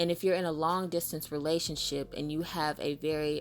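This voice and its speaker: With music in the background, a woman with an American accent talks at a fairly quick pace in a very deep, low pitch. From Southern US. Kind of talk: casual monologue commentary. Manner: fast.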